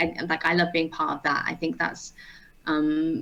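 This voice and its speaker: Speaking with an English Midlands accent, a woman uses a fairly low pitch and vocal fry at a moderate pace. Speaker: ultimate frisbee player and strength coach. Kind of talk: casual interview. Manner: hesitant, many fillers.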